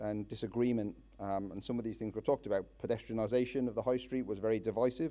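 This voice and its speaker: A very fast pace in an Irish accent, with fairly even intonation and a dark, mellow tone. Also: man. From Ireland. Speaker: town councillor. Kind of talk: public speech. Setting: public meeting with audience. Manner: hesitant, many fillers.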